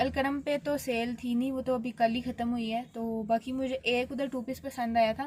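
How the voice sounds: A woman talks at a moderate pace with a fairly high pitch. Her tone is slightly mellow, with little pitch movement.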